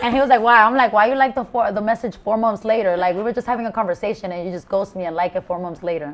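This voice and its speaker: A woman with an American accent speaks at a very fast pace. Her fairly high pitch shows ordinary variation. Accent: Spanish Bronx. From Bronx, New York. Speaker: rapper, content creator. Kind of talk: interview answer. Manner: bold, unfiltered.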